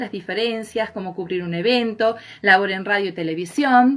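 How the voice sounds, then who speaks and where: Medium-pitched female speech at a moderate pace with ordinary pitch variation over noticeable background noise. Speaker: live stream host. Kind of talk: live stream introduction.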